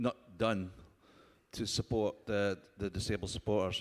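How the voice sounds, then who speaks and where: A man speaks with a strong Scottish accent. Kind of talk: panel discussion. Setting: conference stage with audience.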